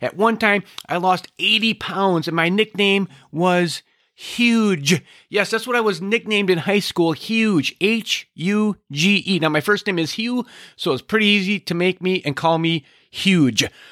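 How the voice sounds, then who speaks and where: In a very clean, dry, close recording with a silent background and no echo, a man speaks at a fairly slow pace with a high pitch, a bright, sharp tone, and ordinary pitch variation. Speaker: health practitioner podcaster. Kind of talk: solo health podcast monologue.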